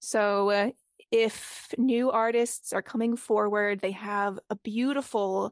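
A woman in a Boston accent, dry and close with no echo. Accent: American (Boston). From Boston, US. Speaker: theatre company founder and playwright. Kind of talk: interview.

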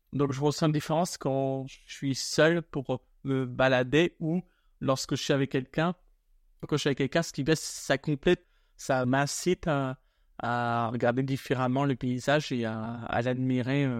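A man speaks in a plain, everyday voice at a medium pitch, with fairly even intonation and a fairly slow pace. The recording is very clean, with a silent background. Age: 30s. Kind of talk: interview testimony.

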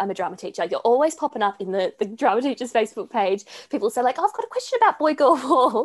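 A woman with an Australian accent, talking very fast over a quiet background. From Sydney, Australia. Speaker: podcast co-host. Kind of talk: scripted announcement; interview. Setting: video call.

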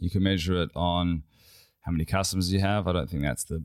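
Over a silent background in a very clean recording, a man with a very deep, low pitch talks at a fairly quick pace with ordinary pitch variation. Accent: Australian. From Western Australia (Perth). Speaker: company CEO. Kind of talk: interview.

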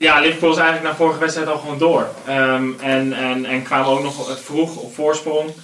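A fairly high-pitched male voice, monotone and flat, with hardly any pauses. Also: moderate pace. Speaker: football podcast panelist. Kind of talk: casual football discussion.

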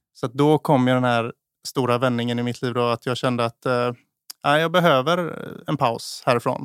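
In a very clean recording with a silent background and a dry, close sound with no echo, a man of medium pitch speaks at a moderate pace with fairly even intonation. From Småland, Sweden (Eksjö). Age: 30s. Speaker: chef and restaurant owner. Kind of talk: casual interview. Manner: halting.

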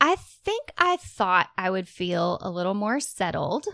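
In a very clean recording with a silent background, a woman speaks fairly slowly at a medium pitch in a plain, everyday voice. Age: 30s. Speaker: podcast co-host. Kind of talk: casual chat.

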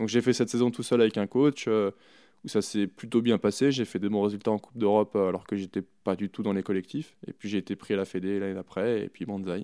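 In a very clean recording with a silent background, a man with a fairly low pitch talks at a fairly quick pace with hardly any pauses. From France, Chamonix (Haute-Savoie). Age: 30s. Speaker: alpine ski racer. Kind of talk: interview. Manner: hesitant, many fillers.

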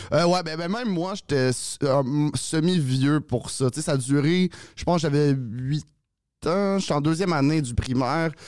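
A man with a plain, everyday voice speaks at a fairly slow pace in a fairly high pitch with ordinary pitch variation. The recording is very clean, with a silent background. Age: 30s. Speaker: comedian. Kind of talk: casual chat.

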